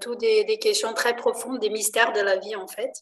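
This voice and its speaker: A woman speaks with monotone, flat intonation. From Brazil, Rio de Janeiro. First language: Portuguese (speaking French). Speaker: enneagram trainer. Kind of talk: interview explaining a topic. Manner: hesitant.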